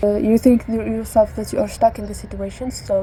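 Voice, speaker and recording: A woman speaks in a room with audible echo. Noticeable background noise comes through as well. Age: 20s. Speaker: vlogger. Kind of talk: casual monologue to camera. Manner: halting, searching for words.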